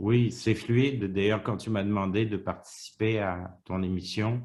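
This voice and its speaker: Speaking in a Quebec accent, a man talks at a fairly slow pace with a fairly low pitch and monotone, flat intonation. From Quebec, Montreal. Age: 60s. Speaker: retiree interviewee. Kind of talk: interview. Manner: halting.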